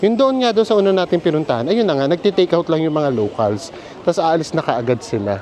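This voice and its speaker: Against noticeable background noise, a man talks very fast in a high pitch, his voice swinging very widely up and down. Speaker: travel vlogger. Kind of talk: casual chat. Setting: outdoors. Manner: animated.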